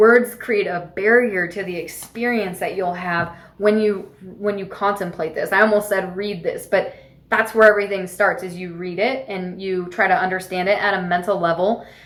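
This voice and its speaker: Audible room echo around a woman at medium pitch, speaking at a moderate pace with fairly even intonation. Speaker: spiritual mentor and podcast host. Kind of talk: casual monologue, book recommendations.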